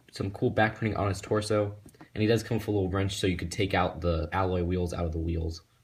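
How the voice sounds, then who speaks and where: Quiet and somewhat breathy, the voice moves at a fairly quick pace with ordinary pitch variation in a very clean recording with a silent background. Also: man. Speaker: toy reviewer. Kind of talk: product review. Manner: subdued, quiet to avoid waking others.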